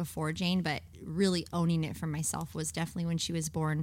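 Heard in a very clean recording with a silent background, a woman with a fairly low pitch and an unremarkable speaking voice talks at a fairly quick pace. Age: 30s. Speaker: pastor. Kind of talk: casual chat.

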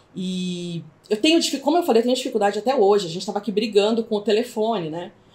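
Speaking at a very fast pace, a woman uses lively intonation at a medium pitch. Her voice is somewhat breathy. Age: 40s. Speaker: school owner and online entrepreneur. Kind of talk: testimony. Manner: halting.

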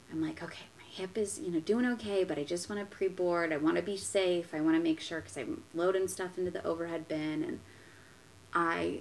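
Talking at a fairly quick pace, a woman with an unremarkable speaking voice keeps a fairly low pitch and ordinary pitch variation. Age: 20s. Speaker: guest with autoimmune illness. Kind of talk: casual chat.

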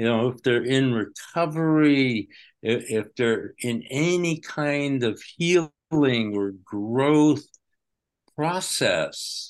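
Over a quiet background, a man with a fairly high pitch speaks at a very slow pace with ordinary pitch variation. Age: 80s+. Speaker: psychotherapist and teacher. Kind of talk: interview, casual chat.

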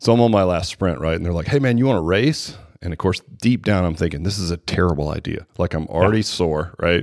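The voice races at a very fast pace with hardly any pauses and ordinary pitch variation. The recording is very clean, with a silent background. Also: man, very deep, low pitch for a man. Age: 50s. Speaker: personal training business owner. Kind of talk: casual chat.

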